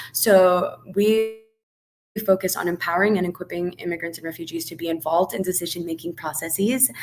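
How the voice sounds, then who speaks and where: A woman's fairly low voice at a fairly quick pace, with ordinary pitch variation, big swings in loudness and music in the background. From Colombia. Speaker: community organizer. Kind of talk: webinar panel talk.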